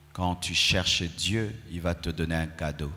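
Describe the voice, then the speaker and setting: The speech unfolds at a very slow pace with audible room echo. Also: man. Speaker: pastor. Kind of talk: sermon. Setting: church. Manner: not shouting.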